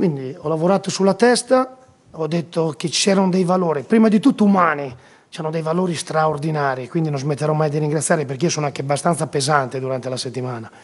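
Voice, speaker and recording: A man's very fast, lively-toned speech at a fairly high pitch. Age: 50s. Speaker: football coach. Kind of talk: post-match press conference; press conference answer. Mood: passionate, proud after the match. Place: hall. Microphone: podium.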